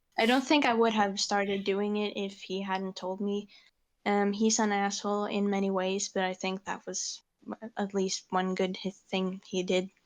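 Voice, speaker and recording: A woman speaks with a non-native accent. Her intonation is monotone and flat. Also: medium pitch for a woman, moderate pace. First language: not English. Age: 18. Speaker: digital artist. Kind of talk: casual interview chat. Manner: halting, many fillers.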